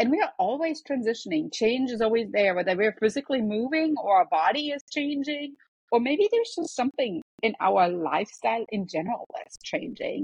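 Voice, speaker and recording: A woman speaks with a German accent at a moderate pace. Her pitch is fairly high and her intonation lively. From Germany. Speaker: professor and health coach. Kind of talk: casual interview.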